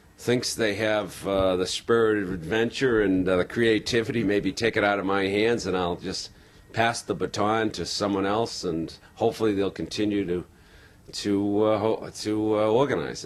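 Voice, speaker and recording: This man has a plain, everyday voice, fairly low in pitch, with an American accent, fairly even intonation and a moderate pace. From Boston. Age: 50s. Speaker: marathon tour organizer. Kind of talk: interview.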